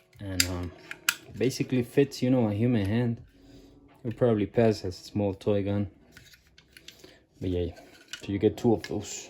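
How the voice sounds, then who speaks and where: A man with a non-native accent, fairly low in pitch, at a moderate pace with long, frequent pauses and ordinary pitch variation, over noticeable background noise. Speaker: toy collector reviewer. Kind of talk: product review. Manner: hesitant with many fillers; casual.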